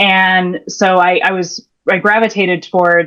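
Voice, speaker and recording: Someone with an American accent speaks at a fairly slow pace with fairly even intonation, over a quiet background. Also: woman. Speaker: career and leadership coach. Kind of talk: interview. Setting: podcast. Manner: hesitant, many fillers.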